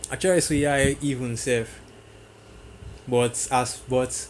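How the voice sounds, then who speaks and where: Flat, monotone intonation marks a man's medium-pitched speech. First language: not English. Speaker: religious teacher. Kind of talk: religious teaching video. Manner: halting.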